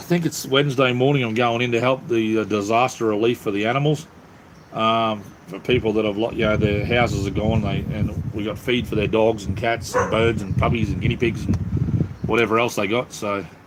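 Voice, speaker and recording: Over noticeable background noise, a man with an Australian accent speaks at a fairly quick pace with fairly even intonation. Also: medium pitch for a man. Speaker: livestreamer. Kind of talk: casual chat. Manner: casual, halting with fillers.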